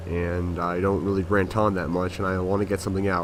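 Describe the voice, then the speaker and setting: Audible room echo surrounds a man with a very deep, low pitch and fairly even intonation. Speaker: gaming commentator. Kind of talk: gameplay commentary. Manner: many fillers.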